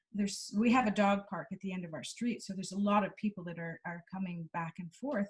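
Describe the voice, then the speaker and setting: A woman talks very fast at medium pitch with ordinary pitch variation, her voice somewhat breathy and her loudness swinging widely, in a dry, close recording with no echo. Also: hardly any pauses. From Canada. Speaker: clinical psychologist. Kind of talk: interview answer.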